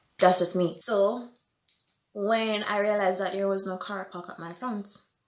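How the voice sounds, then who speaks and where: Her intonation is monotone and flat, and her loudness swings widely. The woman's pitch sits in the medium range, and her pace is moderate. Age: 20s. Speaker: vlogger. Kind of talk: storytelling vlog.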